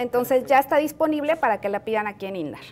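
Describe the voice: The woman's voice sits high in pitch, with ordinary pitch variation.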